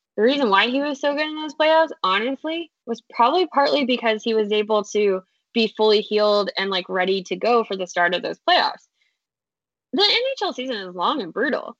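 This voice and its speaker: With lively intonation and a fairly high pitch, a woman speaks at a moderate pace. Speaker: sports podcast co-host. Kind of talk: casual chat. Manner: loud.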